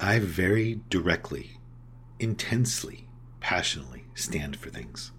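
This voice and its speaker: In a room with audible echo, a man with a very deep, low pitch speaks at a fairly slow pace, his pitch swinging very widely. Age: 40s. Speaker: podcast host in addiction recovery. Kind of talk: recovery podcast monologue.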